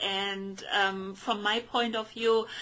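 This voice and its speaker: A woman with a German accent at a very slow pace, over noticeable background noise. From Germany. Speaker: podcast co-host. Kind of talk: casual chat. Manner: halting, many fillers.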